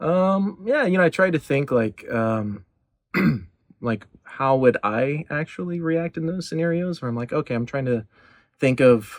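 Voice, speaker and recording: On a very clean recording with a silent background, a man with an American accent talks at a moderate pace in a fairly high pitch with lively intonation. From Texas. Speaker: voice actor. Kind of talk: interview. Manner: halting, many fillers.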